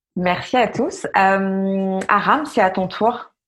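Music behind a medium-pitched female voice. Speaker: podcast host. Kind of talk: interview. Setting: remote recording.

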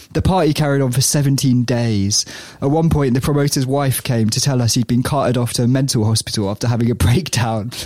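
Speaking very fast, a man keeps a medium pitch, ordinary pitch variation and very even loudness. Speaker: podcast co-host. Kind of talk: casual chat.

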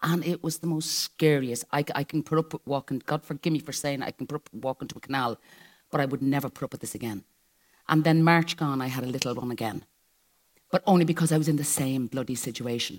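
In an Irish accent, a woman with a very deep, low pitch and ordinary pitch variation talks at a very fast pace on a very clean recording with a silent background. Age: 60s. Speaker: live show guest. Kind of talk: live stage interview.

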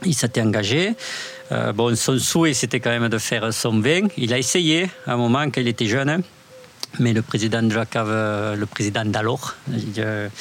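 With very even loudness and ordinary pitch variation, a man at a medium pitch talks at a moderate pace over noticeable background noise. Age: 40s. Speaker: winemaker. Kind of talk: casual interview. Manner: halting.

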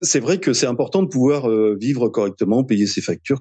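The man's voice carries lively intonation. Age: 60s. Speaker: retired 3D graphic designer. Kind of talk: testimony. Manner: halting.

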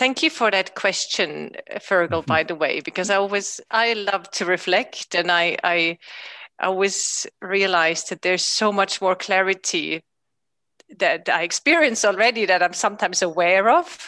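Delivered at a moderate pace with ordinary pitch variation, the voice has a bright, sharp tone and a German accent. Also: woman, medium pitch for a woman. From Austria. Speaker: emotional intelligence coach. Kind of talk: interview. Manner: halting.

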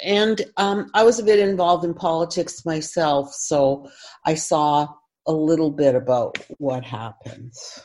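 In a Canadian accent, a woman speaks at a fairly slow pace with a fairly low pitch. She has an unremarkable speaking voice and lively intonation. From Windsor, Ontario, Canada. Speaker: author and journalist. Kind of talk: interview.

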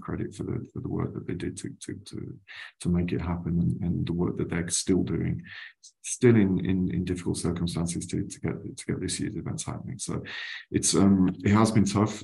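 Very deep and low in pitch, a man with a dark, mellow tone and vocal fry speaks at a moderate pace with lively intonation. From West Midlands, England (West Bromwich). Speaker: travel retail trade association executive. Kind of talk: interview. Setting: video call. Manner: halting, many repetitions.

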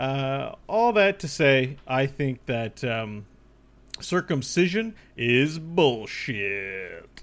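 The speaker has an animated tone with very wide pitch swings. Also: man. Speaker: podcast host. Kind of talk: casual chat. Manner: radio voice today, animated.

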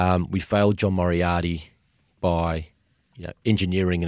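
A man's very deep, low voice, monotone and flat, at a moderate pace, dry and close with no echo in a very clean recording with a silent background. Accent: Australian. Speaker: author and sports media executive. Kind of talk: interview discussion.

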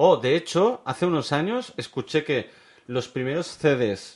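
Against a quiet background, a man with a normal speaking voice talks at a fairly slow pace. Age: 40s. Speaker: podcast co-host. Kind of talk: casual chat.

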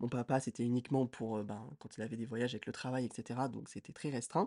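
A man with a dark, mellow tone speaks at a medium pitch and moderate pace. The sound is dry and close with no echo, over a quiet background. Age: 20s. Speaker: podcast co-host, student. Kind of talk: casual chat.

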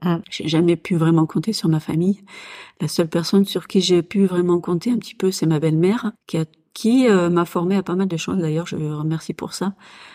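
A woman speaks at a moderate pace and fairly low pitch, with a dark, mellow tone and fairly even intonation. The recording is very clean, with a silent background. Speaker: business owner and military spouse. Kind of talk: personal testimony in a casual interview. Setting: at her home. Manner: hesitant, many filler sounds.

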